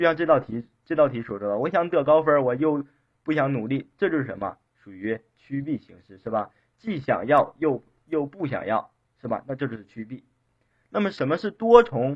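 A man with a fairly high voice whose pitch swings very widely and whose loudness rises and falls sharply. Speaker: teacher giving exam-prep lecture. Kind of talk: online lecture. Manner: repetitive rhetorical questions, filler-heavy. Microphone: too quiet for some listeners.

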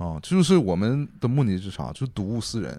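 With a slight northeastern Chinese accent, a man talks at a fairly quick pace in a dark, mellow tone and medium pitch, with very wide pitch swings, on a very clean recording with a silent background. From Dalian, northeast China. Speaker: archaeology PhD student and graphic designer. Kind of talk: casual chat.

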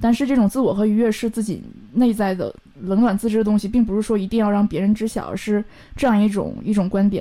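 A woman talks very fast with a slight Northeastern Chinese accent, her pitch fairly high and her intonation fairly even. Her tone is dark and mellow. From Northeast China. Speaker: leather craftsperson. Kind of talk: casual interview.

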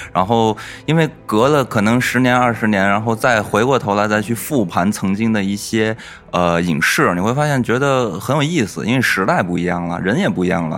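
A man speaks with fairly low pitch and lively intonation. Noticeable background noise runs behind him. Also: moderate pace. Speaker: podcast host. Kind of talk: casual chat.

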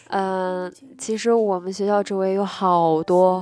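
Very slowly, a woman speaks at a medium pitch in a monotone, flat intonation. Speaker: livestream radio host. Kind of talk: call-in livestream chat. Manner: halting with many fillers.

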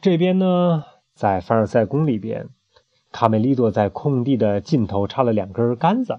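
The reading aloud is plain, the intonation lively, and the background quiet.

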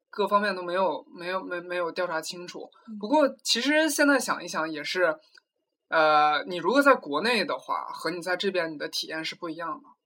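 A man's raised, projected voice, high in pitch, with lively intonation. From China. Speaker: graduate student. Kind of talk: casual interview chat. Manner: halting with frequent word repetitions.

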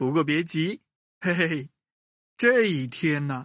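On a very clean recording with a silent background, a man speaks at a fairly slow pace with a fairly high pitch, a fairly bright tone, and big pitch swings. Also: dry, close sound with no echo.

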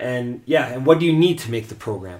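A man talks fairly quickly in a normal speaking voice, his intonation lively. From Canada. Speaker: co-host's husband, charity worker. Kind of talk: casual chat.

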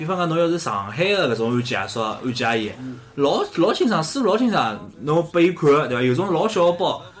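A man's high-pitched voice at a fairly quick pace, with very wide pitch swings and noticeable background noise. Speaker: podcast host. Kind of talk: casual chat.

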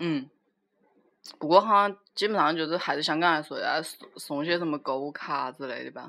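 A woman with a Wuhan accent, very deep, low pitch, a bright, sharp tone, ordinary pitch variation, big swings in loudness and a moderate pace. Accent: Wuhan-accented Mandarin. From China, Wuhan. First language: Wuhan dialect (speaking Chinese). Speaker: podcast co-host. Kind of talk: casual chat.

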